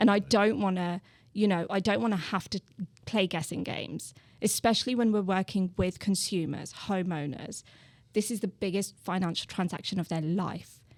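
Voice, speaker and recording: A woman with a British accent speaks at a moderate pace and medium pitch. Her pitch varies in an ordinary way, in a very clean recording with a silent background. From England, Birmingham. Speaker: real estate agent. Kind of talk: podcast interview.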